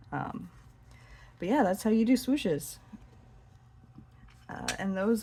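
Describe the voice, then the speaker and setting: A woman speaks with a dark, mellow tone that is somewhat breathy. Her pitch varies in an ordinary way. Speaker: hobby dot painter. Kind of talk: casual tutorial talk to camera. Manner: hesitant, some stuttering.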